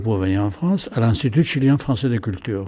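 Somewhat breathy, a man speaks at a moderate pace with lively intonation. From Chile. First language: Spanish (speaking French). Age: 80s+. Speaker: painter. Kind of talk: interview. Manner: halting.

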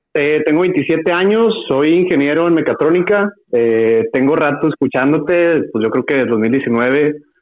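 A man talks in a normal speaking voice at a fairly high pitch, with lively intonation. His loudness stays very even, and he leaves hardly any pauses. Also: fairly slow pace. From Mexico, Parral, Chihuahua. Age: 20s. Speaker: caller, mechatronics engineer. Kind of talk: phone-in quiz call.

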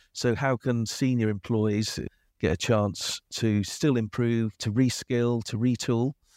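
This man has a normal speaking voice at a medium pitch, with fairly even intonation and a fairly slow pace. The recording is very clean with a silent background and a dry, close sound with no echo. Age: 50s. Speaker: age inclusion advocate, organisation director. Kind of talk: podcast interview.

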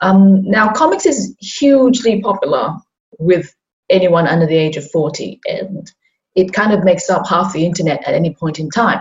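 A woman's medium-pitched, somewhat breathy voice at a moderate pace, with lively intonation. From Hong Kong. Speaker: comics artist. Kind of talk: casual chat.

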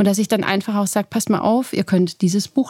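Speaking very fast, a woman has a medium-pitched, somewhat breathy voice with a dark, mellow tone. Her pitch varies in an ordinary way, and the sound is dry and close with no echo. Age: 30s. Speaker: professor. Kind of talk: interview.

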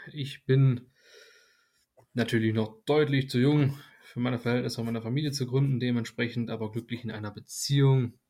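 Long pauses come often as a man speaks at a moderate pace in a monotone, flat delivery. His tone is dark and mellow. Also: medium pitch for a man. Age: 20s. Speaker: nursing trainee. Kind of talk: casual chat.

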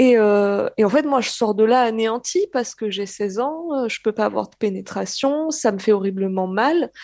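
A woman speaks at a moderate pace with a fairly high pitch, lively intonation and a dark, mellow tone. Her loudness swings widely, and the sound is dry and close with no echo. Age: 20s. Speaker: caller. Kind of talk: testimony.

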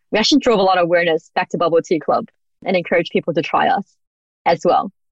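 This voice has an Australian accent and lively intonation at a very fast pace. The sound is dry and close, with no echo. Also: woman. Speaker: business founder. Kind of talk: interview.

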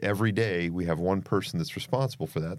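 A man with an American accent talks at a fairly quick pace in a very deep, low pitch. His voice makes very wide pitch swings over a very clean recording with a silent background. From Idaho. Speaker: fire chief. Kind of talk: interview. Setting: studio.

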